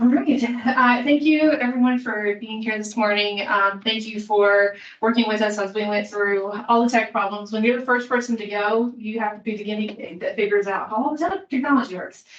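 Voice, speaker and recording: With noticeable background noise behind her, a woman in a Kentucky accent speaks at a fairly quick pace, her fairly high pitch varying in an ordinary way. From Kentucky, Appalachia. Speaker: student affairs administrator. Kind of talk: conference presentation.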